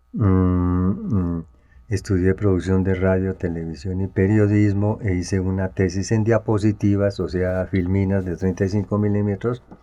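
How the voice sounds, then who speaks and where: A very deep, low-pitched man's voice with a dark, mellow tone, monotone and flat, at a fairly slow pace against a quiet background. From Colombia, Tunja (Boyacá). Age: 60s. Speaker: journalist and photographer. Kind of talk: interview, autobiographical recollection. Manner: halting, with frequent fillers.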